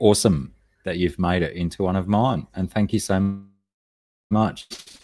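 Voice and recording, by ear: With an Australian accent, a man speaks at a fairly slow pace in a very deep, low pitch on a very clean recording with a silent background.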